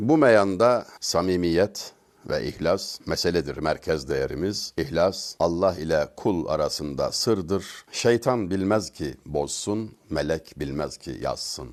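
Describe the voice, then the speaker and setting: Vocal fry runs through this man's very deep, low voice. He speaks at a very slow pace with lively intonation. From Turkey, Denizli (Çameli). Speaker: religious speaker. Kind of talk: religious talk.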